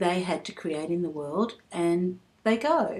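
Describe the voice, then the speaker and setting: Speaking at a very slow pace, a woman with an Australian accent has a fairly low pitch. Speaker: vlogger. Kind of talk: personal vlog. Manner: halting.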